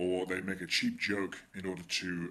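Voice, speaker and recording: Here a man with an English accent has a very deep, low pitch and a bright, sharp tone. His intonation is fairly even. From England. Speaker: political commentator. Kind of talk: video monologue.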